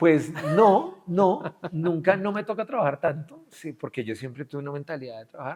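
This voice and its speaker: Speaking with a Colombian accent, a man uses lively intonation at a fairly high pitch, his loudness swinging widely. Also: moderate pace. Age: 40s. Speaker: business executive. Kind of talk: interview. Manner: animated.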